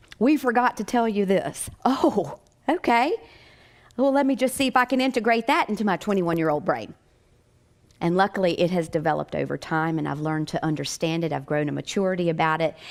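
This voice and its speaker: A woman of medium pitch talks at a very fast pace with a slight Southern US accent and very wide pitch swings, in a very clean recording with a silent background. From Virginia mountains, US. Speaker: psychic medium and near-death experiencer. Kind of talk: inspirational talk. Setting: stage with audience. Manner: animated.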